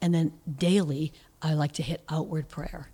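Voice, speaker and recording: A woman's voice has a dark, mellow tone and a fairly low pitch, somewhat breathy. The recording is very clean with a silent background. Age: 50s. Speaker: church prayer director. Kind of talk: casual interview.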